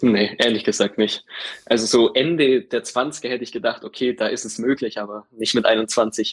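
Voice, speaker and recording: An unremarkable speaking voice moves at a moderate pace. The sound is dry and close, with no echo. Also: man, medium pitch for a man, ordinary pitch variation. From Allgäu, Bavaria (Kempten). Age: 20s. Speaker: insurance field sales employee. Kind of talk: interview.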